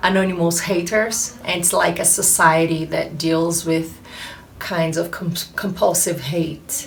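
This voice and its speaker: Flat and monotone, the speech carries a Brazilian accent amid noticeable background noise and audible room echo. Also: woman. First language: Portuguese. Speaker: actress and producer. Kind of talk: interview. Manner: halting, many filler pauses.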